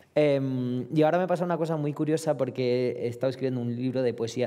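A man's dark, mellow voice at a fairly quick pace, with ordinary pitch variation. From Romania. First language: Romanian (speaking Spanish). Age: 30s. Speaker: poet and novelist; poet. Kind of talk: panel discussion. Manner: halting, many fillers and repetitions. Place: hall. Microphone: headset.

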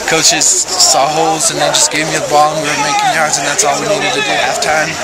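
Crowd noise fills the background as a man speaks at a very fast pace, the sound dry with no echo. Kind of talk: interview answer. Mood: happy, elated after win. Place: stadium.

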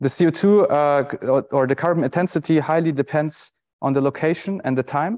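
Moderately paced speech from a man, the background quiet. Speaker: presenter. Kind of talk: conference talk. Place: stage.

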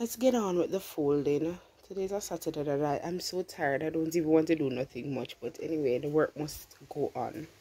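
Speaking at a fairly quick pace, a woman has a very deep, low pitch. Her tone is dark and mellow, with ordinary pitch variation. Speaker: vlogger. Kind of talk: casual vlog chat. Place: home room. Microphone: phone near.

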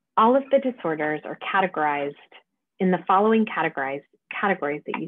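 A woman speaks at a fairly low pitch. The sound is dry with no echo, and the background is quiet. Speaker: medical lecturer. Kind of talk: lecture. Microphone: webcam.

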